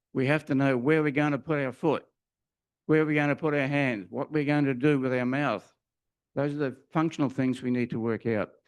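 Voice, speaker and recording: Here a man talks with an Australian accent at a fairly high pitch and fairly even intonation. He leaves long, frequent pauses, and the background is quiet. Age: 80s+. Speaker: retired teacher and minister preaching at church. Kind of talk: sermon. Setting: church.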